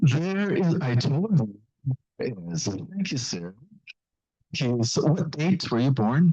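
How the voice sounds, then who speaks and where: A man's fairly high, somewhat breathy voice with a dark, mellow tone, very wide pitch swings, a very slow pace and long, frequent pauses. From Jamaica. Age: 80s+. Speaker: pastor. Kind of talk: seminar talk. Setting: church with audience.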